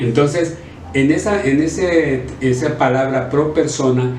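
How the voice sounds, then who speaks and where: Fairly even intonation comes through at a very slow pace, with noticeable background noise. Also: man. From Sonora, Mexico. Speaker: politician and former radio announcer. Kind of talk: interview answer.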